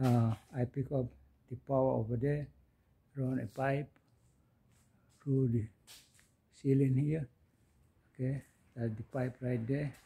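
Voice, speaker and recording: A somewhat breathy voice with a dark, mellow tone speaks in a flat monotone, broken by long, frequent pauses. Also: man. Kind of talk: tutorial walkthrough. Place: factory. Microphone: phone near.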